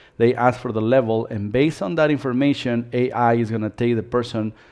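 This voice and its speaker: A man's unremarkable speaking voice at a medium pitch, the intonation fairly even. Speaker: dance studio owner giving business webinar. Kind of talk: live webinar presentation. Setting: live stream webinar.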